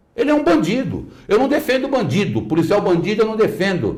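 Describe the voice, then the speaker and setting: At a moderate pace, a man speaks in a high pitch with very wide pitch swings. Audible room echo surrounds his voice. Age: 60s. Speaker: lawyer. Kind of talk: interview. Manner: animated.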